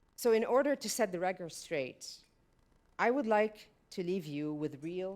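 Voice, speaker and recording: Speaking at a fairly slow pace, a woman with a slight French accent uses a medium pitch that swings very widely. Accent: slight French-tinged. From Lebanon. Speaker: panel speaker on migration. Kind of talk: prepared speech. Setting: stage with audience.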